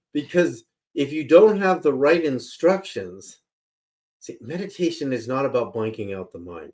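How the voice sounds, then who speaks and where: In a General American accent, the voice moves at a moderate pace with vocal fry, very wide pitch swings and big swings in loudness. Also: man, fairly high pitch for a man. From Berkeley, California, US. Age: 60s. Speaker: spiritual researcher and author. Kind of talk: interview. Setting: live radio broadcast. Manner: animated.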